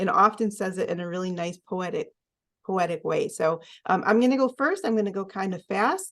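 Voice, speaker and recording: Against a quiet background, a woman with an ordinary speaking voice talks at a medium pitch with ordinary pitch variation. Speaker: oracle card reader. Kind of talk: card reading presentation.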